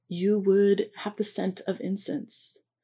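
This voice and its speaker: This woman talks at a very slow pace. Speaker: museum host. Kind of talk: welcome and introduction. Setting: online live session.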